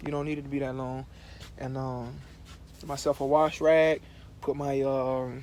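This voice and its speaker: A man at a fairly high pitch with monotone, flat intonation, big swings in loudness and long, frequent pauses. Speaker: truck driver vlogger. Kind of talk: casual vlog tour. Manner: fast; rambling, casual.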